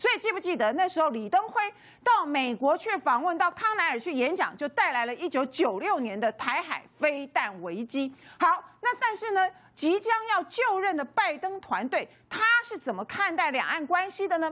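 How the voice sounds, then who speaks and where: A woman speaks with an extremely high pitch. Her pitch swings very widely. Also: moderate pace. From Taiwan. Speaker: legislator; TV talk show host or panelist. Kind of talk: TV political panel talk. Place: studio. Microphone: lapel.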